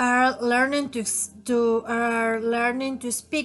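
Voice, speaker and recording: A woman with a Spanish accent speaks at a fairly high pitch and a very slow pace, in a monotone with flat intonation. The background is quiet. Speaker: language student. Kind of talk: class presentation. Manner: halting.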